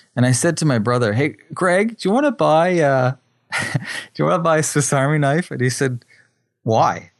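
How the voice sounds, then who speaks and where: Speaking at a moderate pace, a man with an unremarkable speaking voice uses lively intonation at a fairly high pitch for a man. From Atlantic Canada (New Brunswick). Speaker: photographer and filmmaker. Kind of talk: interview.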